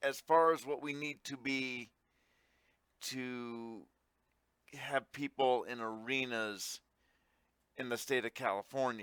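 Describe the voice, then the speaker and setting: The speaker, with an American accent, talks at a very slow pace with long, frequent pauses. The intonation stays fairly even. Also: man, medium pitch for a man. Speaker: gaming commentator. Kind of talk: casual chat.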